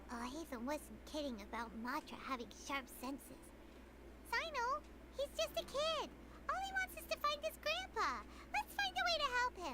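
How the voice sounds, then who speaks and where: Someone uses a put-on character voice at a moderate pace over loud background noise. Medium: game stream.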